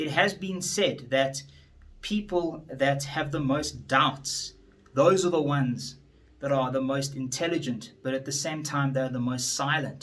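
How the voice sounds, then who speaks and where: A man with a fairly high voice speaks at a fairly slow pace, with audible room echo. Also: ordinary pitch variation. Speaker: attorney and politician. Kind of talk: motivational speech. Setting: standing before an audience.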